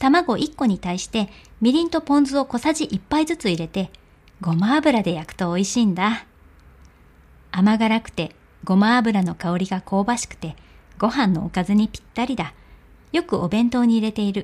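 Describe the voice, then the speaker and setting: Her pitch is fairly high for a woman and swings very widely. She sounds somewhat breathy and speaks at a moderate pace. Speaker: audiobook narrator. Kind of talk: reading aloud fiction.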